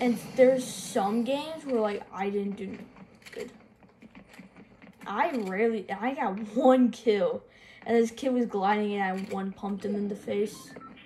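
Over light background noise, a woman speaks at a fairly slow pace with long, frequent pauses and ordinary pitch variation. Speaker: gamer filming own play. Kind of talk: casual gameplay commentary. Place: home room. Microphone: phone near.

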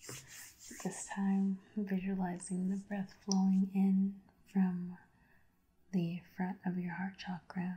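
A calm woman at a very slow pace, with long, frequent pauses. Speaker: reiki practitioner. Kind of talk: guided breathing meditation. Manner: slow, calm. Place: home room.

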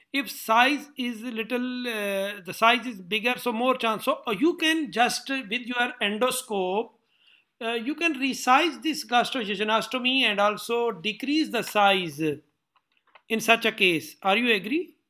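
A man speaks in a raised, projected voice at an extremely high pitch. His tone is bright and sharp. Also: ordinary pitch variation, fairly slow pace, quiet background. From Pakistan. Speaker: surgeon and interviewer; interviewer. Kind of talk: interview. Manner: halting. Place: office. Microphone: webcam.

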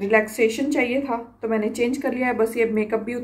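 At a fairly slow pace, a woman talks in a high pitch. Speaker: vlogger. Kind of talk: casual vlog chat. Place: home room. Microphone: phone near.

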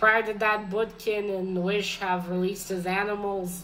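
A woman's medium-pitched voice in a monotone, flat delivery. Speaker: book vlogger. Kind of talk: casual book review vlog. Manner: hesitant, filler-heavy, casual.

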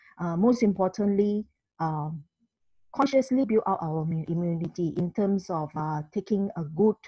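Against a quiet background with a dry sound and no echo, a woman speaks somewhat breathily at a fairly slow pace with lively intonation. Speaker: presenter. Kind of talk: online presentation. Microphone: video call.

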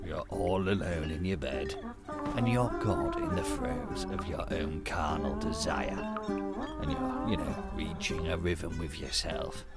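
A man's cartoonish character voice, low-pitched and slow, with very wide pitch swings and clear music behind it

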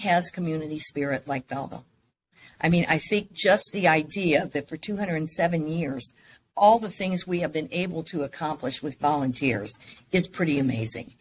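Somewhat breathy, a woman speaks at a moderate pace and fairly low pitch with lively intonation, over light background noise. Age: 60s. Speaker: mayor. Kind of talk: casual interview. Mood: warm, proud of town. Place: office.

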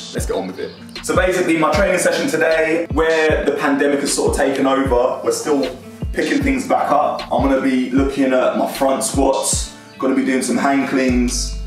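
A man talks at a moderate pace in a room with audible echo. Music plays clearly in the background. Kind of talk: casual vlog chat. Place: gym.

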